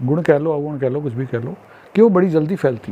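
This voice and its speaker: With lively intonation, a man speaks at a fairly high pitch amid noticeable background noise. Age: 60s. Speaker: social commentator. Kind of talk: monologue.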